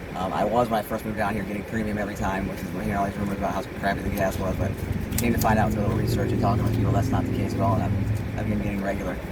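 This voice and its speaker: Very fast and flat in intonation, a man talks in an American accent at a fairly low pitch. Audible room echo and noticeable background noise surround him. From US, Louisville, Kentucky. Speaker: vlogger. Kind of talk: casual monologue while driving. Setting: in a car. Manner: halting, many fillers.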